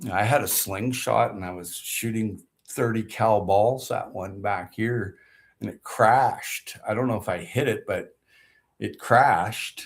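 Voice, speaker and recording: On a very clean recording with a silent background, a man speaks in a somewhat breathy voice at a fairly slow pace, with big swings in loudness. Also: fairly low pitch for a man, ordinary pitch variation. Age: 60s. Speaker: gardening vlogger. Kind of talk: casual livestream chat. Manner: animated.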